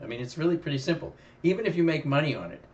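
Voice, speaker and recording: Somewhat breathy, this voice rushes along at a very fast pace. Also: man. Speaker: options trading educator. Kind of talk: live trading commentary. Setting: live stream. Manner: halting, repeats words.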